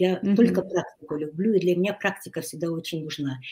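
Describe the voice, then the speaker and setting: Here a woman speaks at a medium pitch with lively intonation. Her voice is somewhat breathy. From Ukraine, Kyiv; lives in Hungary. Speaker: writer and life coach. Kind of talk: interview. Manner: halting.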